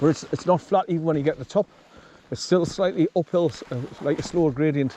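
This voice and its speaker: A man with a northern English accent talks at a very fast pace and fairly high pitch with ordinary pitch variation, in a dry, close sound with no echo but noticeable background noise. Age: 60s. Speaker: hiking vlogger. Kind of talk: casual walking vlog narration. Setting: outdoors.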